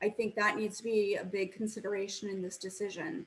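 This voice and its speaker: Here is a woman with an unremarkable speaking voice. She talks at a moderate pace and a medium pitch. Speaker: public commenter at school board meeting. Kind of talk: public comment.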